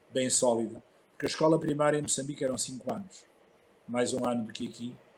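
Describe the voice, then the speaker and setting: Very fast speech from a man, medium in pitch, his pitch varying in an ordinary way. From northern Portugal (Barcelos), childhood partly in Mozambique. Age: 60s. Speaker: archbishop. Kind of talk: interview, personal life story.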